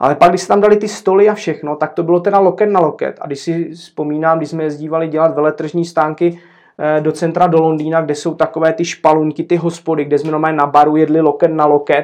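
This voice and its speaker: Over a quiet background, a man with a fairly high pitch speaks very fast in a monotone, flat delivery. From Czechia, Zlín. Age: 40s. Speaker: café owner. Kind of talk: casual interview.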